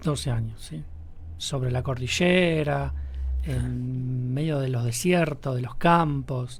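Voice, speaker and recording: A man speaking at a very slow pace, with audible room echo and noticeable background noise. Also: medium pitch for a man, ordinary pitch variation. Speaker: radio host. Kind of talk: radio interview.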